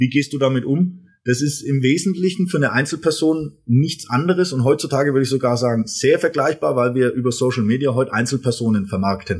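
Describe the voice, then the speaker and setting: A somewhat breathy, medium-pitched man at a fairly quick pace, with ordinary pitch variation and hardly any pauses. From Franconia, Germany (Erlangen). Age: 30s. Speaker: brand management coach and author. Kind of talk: casual interview. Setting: studio.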